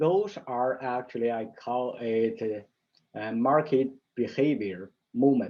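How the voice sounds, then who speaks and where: With a non-native accent, a man speaks very slowly at a medium pitch with ordinary pitch variation. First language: Mandarin. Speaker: stock market analyst. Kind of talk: market analysis tutorial. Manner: halting, with fillers and restarts.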